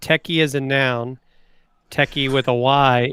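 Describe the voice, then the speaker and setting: A man with an American accent speaks at a mid-range pitch in a monotone, flat delivery. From US South. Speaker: livestream co-host. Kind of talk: casual chat.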